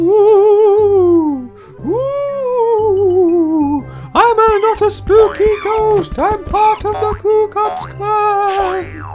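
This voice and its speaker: In a put-on character voice of extremely high pitch, the speaker talks very slowly over clear music and sound effects in the background. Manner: spooky, mock-ghostly.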